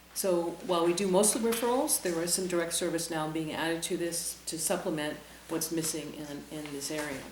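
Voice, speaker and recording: A woman speaks at a fairly quick pace with a fairly low pitch and ordinary pitch variation. Her voice carries audible room echo and noticeable background noise. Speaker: mental health services director. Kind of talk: presentation at town meeting. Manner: fast.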